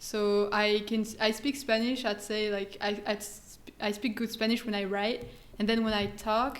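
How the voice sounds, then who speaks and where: A woman talks at a moderate pace with a French accent. Her pitch sits fairly high. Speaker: guest language learner. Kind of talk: casual chat. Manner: soft-spoken. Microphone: far from the mic.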